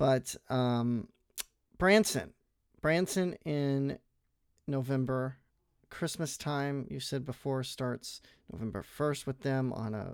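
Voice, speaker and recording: In a very clean recording with a silent background, a man with an unremarkable speaking voice talks fairly slowly at medium pitch with ordinary pitch variation. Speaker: podcast co-host. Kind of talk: casual chat.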